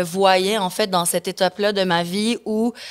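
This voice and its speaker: A woman speaks at a fairly slow pace in a medium pitch with a monotone, flat delivery, the sound dry and close with no echo on a very clean recording against a silent background. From Mexico and the Caribbean, of Quebec descent. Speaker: singer, former reality TV contestant. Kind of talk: podcast interview. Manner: hesitant, many fillers.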